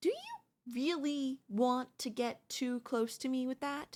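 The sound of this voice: A woman uses a put-on character voice that is high and slightly mellow, with big pitch swings and a slow pace.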